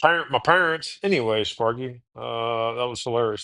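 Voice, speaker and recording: A man's medium-pitched voice with an American accent and lively intonation, set against a quiet background. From Texas (Houston, Austin). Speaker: podcast host. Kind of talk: casual chat. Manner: halting, many false starts.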